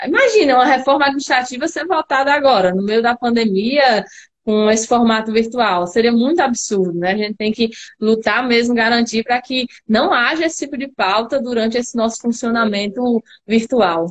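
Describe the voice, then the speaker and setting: An unremarkable speaking voice with ordinary pitch variation. It moves at a moderate pace. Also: woman, fairly high pitch for a woman. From Natal, Rio Grande do Norte, Brazil. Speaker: politician. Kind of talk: casual chat.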